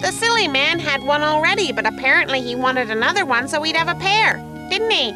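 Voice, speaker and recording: Loud music plays in the background as a high-pitched, put-on character voice rattles along at a very fast pace. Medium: fan dub. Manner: polite, mild.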